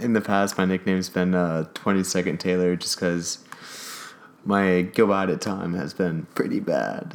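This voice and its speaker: With a Californian accent, a man speaks at a fairly slow pace in a very deep, low pitch. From Oxnard, California. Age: 20s. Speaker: student and sailor. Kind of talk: casual chat.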